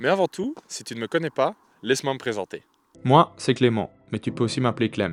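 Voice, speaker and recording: A man speaks with a Liège accent and medium pitch at a fairly quick pace. The recording is very clean, with a silent background. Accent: Liège Belgian French. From Belgium, Liège. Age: 20s. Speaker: travel vlogger. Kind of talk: casual travel vlog; scripted intro narration.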